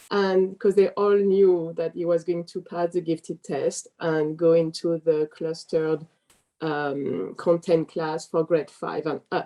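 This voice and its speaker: A fairly low-pitched woman in a French accent, fairly slow, with monotone, flat intonation. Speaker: parent. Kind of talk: interview.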